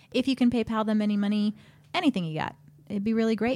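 Very fast, somewhat breathy speech from a woman at medium pitch, dark and mellow in tone, with fairly even intonation and a dry, close sound free of echo. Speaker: podcast host. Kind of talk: casual banter, comedy advice show. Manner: bantering, joking.

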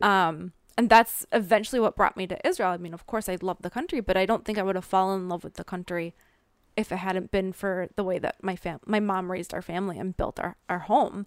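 A woman's animated, medium-pitched voice at a fairly quick pace, big swings in loudness, dry and close with no echo, on a very clean recording with a silent background. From US Midwest. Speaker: author. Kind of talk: casual interview. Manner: laughs often, animated.

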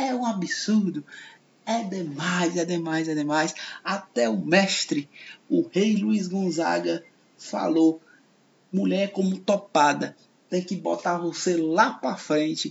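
Speaking very slowly with long, frequent pauses, a man uses a high pitch. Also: lively intonation. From Ceará, Brazil (Fortaleza). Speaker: podcast host and comedian. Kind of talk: radio-style podcast monologue.

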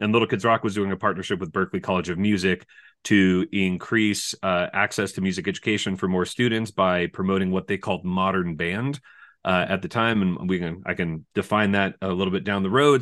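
A man with an American accent has an ordinary speaking voice, talking at a moderate pace with fairly low pitch and fairly even intonation against a quiet background. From California. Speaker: music education professor. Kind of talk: interview.

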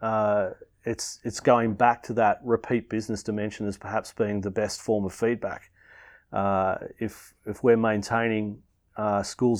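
In a quiet background, a man with an Australian accent speaks at a moderate pace in a fairly low, monotone, flat voice. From Melbourne, Australia. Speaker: founder of a school family program. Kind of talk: interview.

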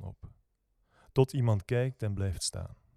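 A calm, dark, mellow tone at a fairly slow pace with fairly even intonation, dry and close with no echo, in a very clean recording with a silent background. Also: man. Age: 20s. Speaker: poet and rock singer. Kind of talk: poetry reading.

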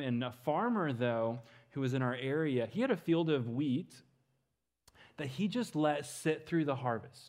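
A man with an American accent speaks in a normal speaking voice, with ordinary pitch variation over a quiet background. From Western Kansas. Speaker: missions speaker. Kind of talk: sermon.

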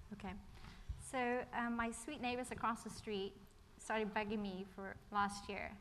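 A woman speaks at a medium pitch and a moderate pace. Audible room echo surrounds her voice. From England then Ireland from age 12. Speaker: church member sharing testimony. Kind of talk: testimony. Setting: church.

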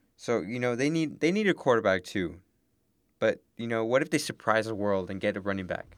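This man has an ordinary speaking voice, medium in pitch, with an American accent and lively intonation. He talks at a fairly quick pace on a very clean recording with a silent background. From Texas border town. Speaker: sports podcast co-host. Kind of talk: casual chat.

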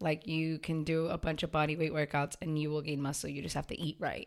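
In a very clean recording with a silent background, a woman talks at a moderate pace with an American accent. Her pitch is very deep and low. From Waltham, Massachusetts. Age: 20s. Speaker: gym owner and fitness trainer. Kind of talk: casual interview.

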